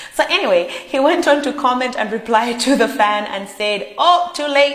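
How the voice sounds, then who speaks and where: An animated tone comes through noticeable background noise and audible room echo. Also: woman. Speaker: pop culture vlogger. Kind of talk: celebrity gossip vlog.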